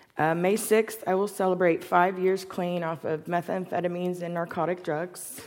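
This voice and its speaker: Monotone, flat speech at a moderate pace, with noticeable background noise. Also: woman, fairly low pitch for a woman. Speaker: recovering addict giving testimony. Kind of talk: testimony.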